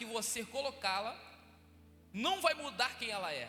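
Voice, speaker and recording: Amid noticeable background noise, a man speaks in a raised, projected voice with lively intonation. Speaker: deacon preaching as guest. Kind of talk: sermon. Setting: church.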